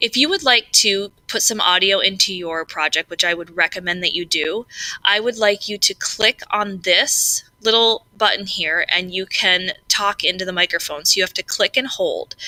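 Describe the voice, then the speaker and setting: A woman at medium pitch with ordinary variation, moderate pace and hardly any pauses, in a dry, close sound with no echo and noticeable background noise. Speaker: tutorial maker. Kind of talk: tutorial. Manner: loud; casual, hesitant with fillers.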